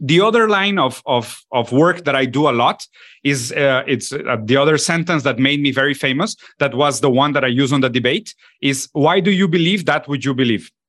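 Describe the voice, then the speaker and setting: Here a man with a Spanish accent speaks at a moderate pace. His fairly high voice has ordinary pitch variation. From Latin America. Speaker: political commentator and documentary filmmaker. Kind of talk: casual intellectual discussion. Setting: video call.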